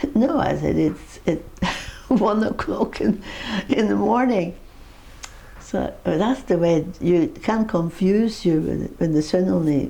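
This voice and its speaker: Against noticeable background noise, a woman with a fairly low pitch talks at a fairly slow pace with lively intonation and very even loudness. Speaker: interviewee, mother of the uploader. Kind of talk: interview answer, personal reminiscence.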